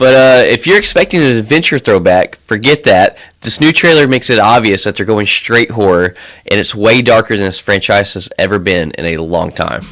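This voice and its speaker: On a very clean recording with a silent background, a man with an American accent speaks at medium pitch with lively intonation. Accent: slight Southern drawl, usually hidden. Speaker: podcast co-host. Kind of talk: casual chat.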